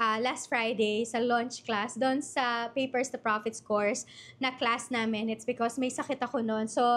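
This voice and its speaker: A woman with a Filipino accent talks at a moderate pace in a high pitch, her tone bright and sharp. The recording is very clean, with a silent background. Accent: Filipino (Tagalog). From Philippines, Bulacan. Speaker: online business coach. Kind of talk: live-stream workshop. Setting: livestream. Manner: casual, code-switching Tagalog-English.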